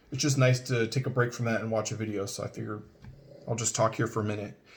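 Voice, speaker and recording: A man with an American accent speaks in a somewhat breathy voice with fairly even intonation. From Northern California (Richmond). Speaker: 911 dispatch center manager introducing himself. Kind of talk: casual video introduction. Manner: fast; hesitant with many fillers.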